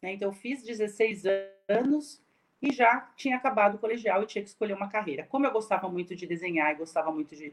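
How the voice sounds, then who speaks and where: At a fairly quick pace, a woman speaks with medium pitch and ordinary pitch variation. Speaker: speech and hearing professor. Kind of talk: lecture. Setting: video call.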